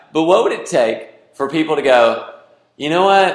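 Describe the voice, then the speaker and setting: Man with an American accent in audible room echo. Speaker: pastor or teacher. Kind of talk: sermon. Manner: loud.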